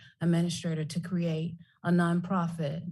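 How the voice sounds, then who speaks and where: The voice is somewhat breathy with a dark, mellow tone. Room echo is audible. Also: woman. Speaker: nonprofit founder, public commenter. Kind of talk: public comment at council meeting. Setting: council chamber. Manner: soft-spoken.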